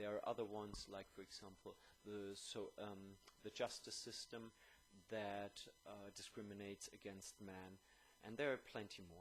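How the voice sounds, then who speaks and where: Speaking at a fairly slow pace, a man with a German accent uses a fairly low voice with monotone, flat intonation. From Germany. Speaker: YouTuber. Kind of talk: video monologue. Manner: hesitant, many fillers.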